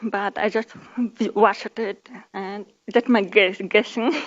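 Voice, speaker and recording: With a Kazakh accent, a woman speaks at a fairly high pitch with fairly even intonation. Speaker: conference speaker. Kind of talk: conference talk. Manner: halting.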